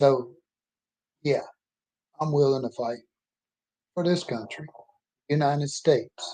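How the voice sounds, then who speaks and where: This man talks in an American accent with a fairly high pitch. His tone is dark and mellow. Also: fairly even intonation, fairly slow pace. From Mississippi. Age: 60s. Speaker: author and oil field worker. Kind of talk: personal monologue vlog. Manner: emphatic, can get loud.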